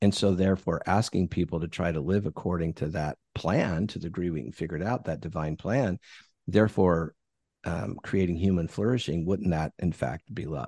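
A man with an American accent speaks at a moderate pace in a very deep, low voice with ordinary pitch variation. The sound is dry and close with no echo, and the background is quiet. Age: 60s. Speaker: bishop and author. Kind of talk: interview.

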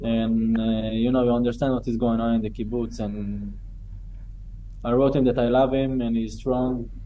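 A man speaks with an Israeli accent at a medium pitch. His pace is moderate and his intonation is monotone and flat. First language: Hebrew. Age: 30s. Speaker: October 7 survivor. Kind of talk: testimony.

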